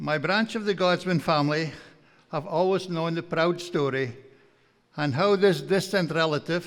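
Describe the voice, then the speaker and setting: With a strong Aberdeenshire accent, a man speaks at a moderate pace and a high pitch, his intonation fairly even. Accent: broad Scottish, Aberdeenshire Doric. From northeast Scotland, Aberdeenshire. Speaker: farmer and guest speaker. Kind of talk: after-dinner lecture. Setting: banquet hall with audience.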